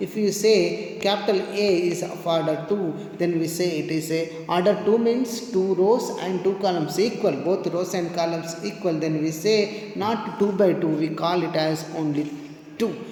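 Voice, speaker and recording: Intonation stays fairly even throughout. Audible room echo and noticeable background noise surround the voice. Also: man. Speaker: math teacher. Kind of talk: lecture.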